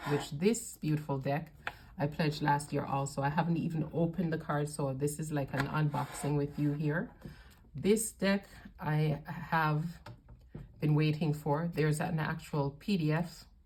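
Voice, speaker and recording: Her pitch is very deep and low for a woman, with fairly even intonation. She talks at a moderate pace over noticeable background noise. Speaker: tarot reader. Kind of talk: unboxing video review.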